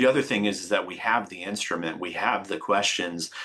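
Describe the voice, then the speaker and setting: In an American accent, a man talks with a monotone, flat intonation. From New York, US. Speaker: extension program leader presenting research. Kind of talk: webinar presentation. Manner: fast.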